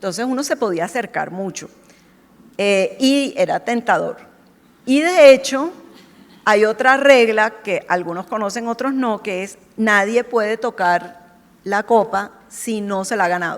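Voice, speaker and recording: With a Colombian accent and an animated tone, a woman talks fairly slowly at a fairly high pitch, her intonation lively over noticeable background noise. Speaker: marketing executive. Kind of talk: panel discussion.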